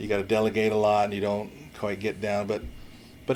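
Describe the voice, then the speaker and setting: Over noticeable background noise, a man speaks at a medium pitch with an American accent. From US Pacific Northwest (Washington State), early childhood in New Zealand. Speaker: high school principal. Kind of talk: interview. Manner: halting.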